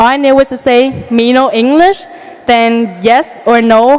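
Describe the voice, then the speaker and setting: Noticeable background noise sits behind a woman's voice. She speaks at a moderate pace in a fairly high pitch, with ordinary pitch variation. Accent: non-native. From outside the US. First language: not English. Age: young. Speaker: valedictorian student. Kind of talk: graduation speech.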